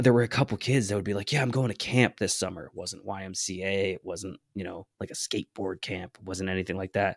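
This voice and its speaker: An ordinary speaking voice from a man at a fairly quick pace, with fairly even intonation and big swings in loudness, on a very clean recording with a silent background. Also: dry, close sound with no echo. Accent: American. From US Northeast, rural Connecticut. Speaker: podcast co-host. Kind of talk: interview.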